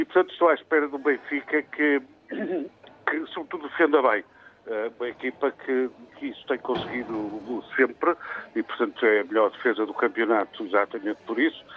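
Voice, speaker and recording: Amid noticeable background noise, a man of medium pitch talks at a moderate pace with ordinary pitch variation and long, frequent pauses. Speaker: football commentator. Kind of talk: radio panel discussion.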